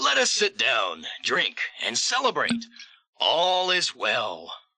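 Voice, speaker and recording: The pace is very slow as a put-on character voice is performed. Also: man, very even loudness. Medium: audio drama.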